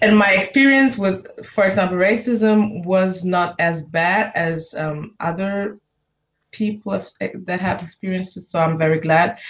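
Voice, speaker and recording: A somewhat breathy woman's voice in a German accent, at medium pitch with ordinary pitch variation and a fairly slow pace. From Germany. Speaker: university student. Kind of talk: interview. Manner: halting.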